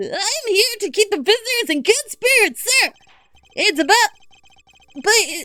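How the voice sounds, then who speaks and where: In a put-on character voice, a woman shouts loudly at an extremely high pitch, keeping a moderate pace with long, frequent pauses. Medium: game stream. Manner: shouty, ends sentences with "sir!".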